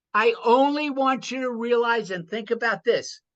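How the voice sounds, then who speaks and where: At an extremely high pitch, a man speaks fairly slowly in a bright, sharp tone with ordinary pitch variation against a quiet background. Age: 80s+. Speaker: former prisoner and business coach. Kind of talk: interview.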